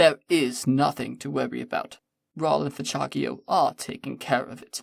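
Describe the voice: Plain reading aloud comes through against quiet surroundings.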